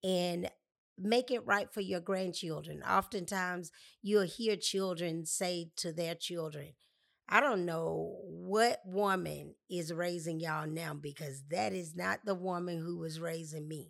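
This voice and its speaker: At a fairly slow pace and with ordinary pitch variation, the speech is captured on a very clean recording with a silent background. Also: woman, fairly low pitch for a woman. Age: 50s. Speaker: podcast host. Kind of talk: solo inspirational monologue.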